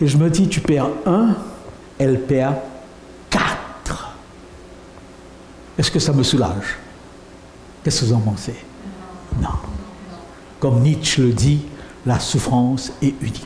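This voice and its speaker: With audible room echo and noticeable background noise, a man talks very slowly. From France. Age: 70s. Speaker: pastor. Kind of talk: sermon.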